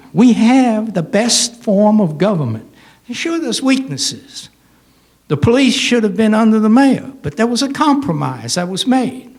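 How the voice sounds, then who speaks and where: Lively intonation and a moderate pace come through with audible room echo. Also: man, high pitch for a man. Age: 80s+. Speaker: public commenter, retired. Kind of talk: public comment at town hall. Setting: town hall meeting. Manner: halting; animated.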